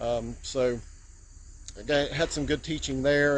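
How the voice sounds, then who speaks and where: Moderately paced male speech amid audible room echo and noticeable background noise. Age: 50s. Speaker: DIY car maintenance youtuber. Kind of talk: tutorial. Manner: casual, hesitant with fillers.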